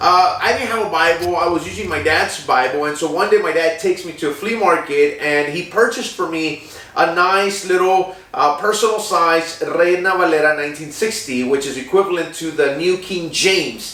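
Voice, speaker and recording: A man with a Spanish accent and a high voice speaks at a moderate pace with hardly any pauses and ordinary pitch variation. Room echo can be heard along with noticeable background noise. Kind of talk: personal testimony. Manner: halting, many fillers.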